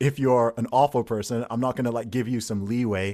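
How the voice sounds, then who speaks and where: In a very clean recording with a silent background, a man with an American accent talks at medium pitch and a fairly quick pace. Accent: slight British, mostly American-sounding. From Saudi Arabia and UK. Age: 30s. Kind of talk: casual interview chat.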